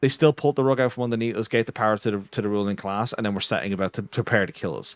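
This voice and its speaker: In an Irish accent, a man talks very fast in an animated tone at a medium pitch with ordinary pitch variation, recorded dry and close with no echo against a silent background in a very clean recording. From Ireland. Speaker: streamer and podcast co-host. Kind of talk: casual political chat.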